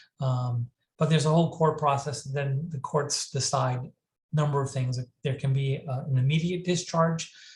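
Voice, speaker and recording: A somewhat breathy, fairly high male voice with fairly even intonation. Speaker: mental health crisis services director and presenter. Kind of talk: lecture. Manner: fast; halting, many fillers and restarts.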